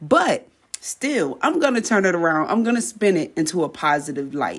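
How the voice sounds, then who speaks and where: A woman speaks at a moderate pace in an animated, warm tone, her pitch swinging very widely. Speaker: podcast host. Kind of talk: pep talk. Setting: solo podcast monologue, voice message style. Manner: animated, fired-up, preacher-like motivational cadence; warm, direct, urging the listener.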